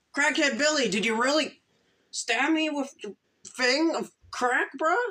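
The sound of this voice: This is a put-on character voice that sounds female. It is high in pitch for a woman. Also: moderate pace.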